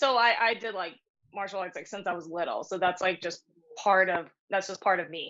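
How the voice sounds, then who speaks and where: This is an unremarkable speaking voice with an American accent, at a fairly quick pace. Pitch variation is ordinary, while loudness swings in big ways. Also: woman, medium pitch for a woman. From New York City. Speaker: martial artist. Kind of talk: casual chat. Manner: casual, filler-heavy speech.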